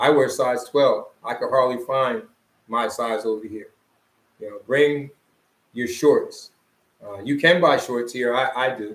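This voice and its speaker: Talking at a fairly slow pace, a man with a Philadelphia accent keeps his intonation fairly even. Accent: Philadelphia American English. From US, Philadelphia. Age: 60s. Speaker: vlogger, expat retiree. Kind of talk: casual chat. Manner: halting.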